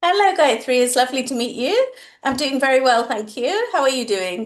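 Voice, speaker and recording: A fairly quick pace with lively intonation. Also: woman, high pitch for a woman. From England. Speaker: online English tutor. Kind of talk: interview.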